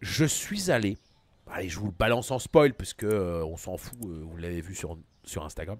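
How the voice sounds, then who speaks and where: Against a quiet background with a dry, echo-free sound, a man with a fairly low voice speaks at a moderate pace in an animated tone, his intonation lively and his loudness swinging widely. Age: 40s. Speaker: gaming streamer. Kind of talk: live gaming stream. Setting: home studio. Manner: casual, animated. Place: home room.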